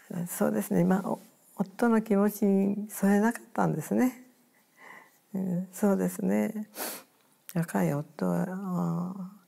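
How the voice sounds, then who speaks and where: Speech comes at a very slow pace, broken by long, frequent pauses. The background is quiet. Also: woman. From Hiroshima, Japan; Japan. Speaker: atomic bomb survivor. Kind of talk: testimony. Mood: somber, reflective recollection. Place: home room.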